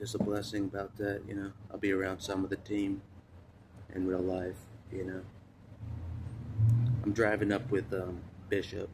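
Long, frequent pauses break up the speech, heard over noticeable background noise. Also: man, moderate pace. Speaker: vlogger. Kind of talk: casual vlog chat. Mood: reflective, occasionally laughing. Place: street. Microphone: phone near.

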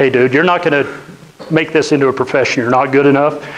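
Fairly quick male speech in an American accent. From northeastern Utah (Roosevelt); Utah. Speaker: business owner, guest speaker; guest. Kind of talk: lecture. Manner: conversational, interactive with audience. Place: classroom. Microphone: lapel.

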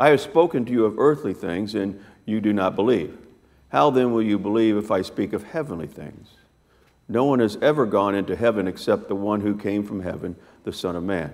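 Against a quiet background, a man talks at a fairly quick pace in an ordinary speaking voice, with a fairly low pitch and ordinary pitch variation. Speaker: preacher. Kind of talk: scripture reading. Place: church.

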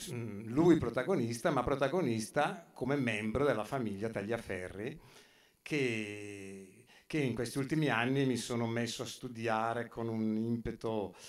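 The man talks at a fairly slow pace, his pitch varying in an ordinary way, while the background stays quiet. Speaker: speaker at exhibition opening, photographer's descendant; speaker. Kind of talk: public talk. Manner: halting, many fillers. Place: hall. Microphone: camera far.

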